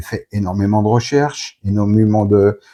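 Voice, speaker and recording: Over a quiet background, a man with a fairly low-pitched voice speaks at a fairly slow pace. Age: 50s. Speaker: book reviewer. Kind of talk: interview. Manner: halting.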